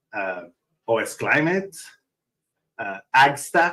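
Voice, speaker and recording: A man with a strong Italian accent, at a fairly slow pace. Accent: thick Italian. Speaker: open source foundation executive. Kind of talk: conference talk.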